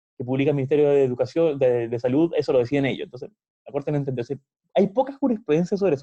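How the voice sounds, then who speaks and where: Speaking at a very fast pace, a man has a dark, mellow tone and a fairly high pitch. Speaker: university law lecturer. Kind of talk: lecture. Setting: video call.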